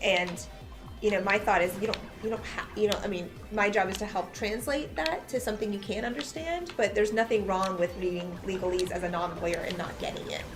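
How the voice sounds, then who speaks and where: Against music in the background and audible room echo, a woman with a medium pitch speaks at a fairly quick pace with ordinary pitch variation. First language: Farsi. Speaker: lawyer. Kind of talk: casual chat. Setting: live game stream.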